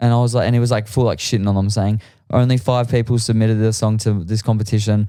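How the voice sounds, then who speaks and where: A man with an Australian accent, medium pitch and a dark, mellow tone, on a very clean recording with a silent background. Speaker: musician. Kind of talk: casual chat.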